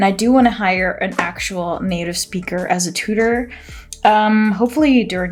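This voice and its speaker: Music plays behind a woman speaking at a moderate pace. Her voice sits at medium pitch, with ordinary pitch variation. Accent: American. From Netherlands. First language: Dutch. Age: 30s. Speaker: planner vlogger and business owner. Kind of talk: casual plan-with-me tutorial. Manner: chatty, informal with fillers.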